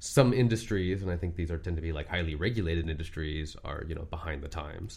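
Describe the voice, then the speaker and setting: Speaking fairly quickly with a Californian accent, a man with a very deep, low pitch sounds somewhat breathy, showing ordinary pitch variation over audible room echo. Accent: Californian American. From Southern California, Orange County. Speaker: lawyer. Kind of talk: casual interview. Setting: studio.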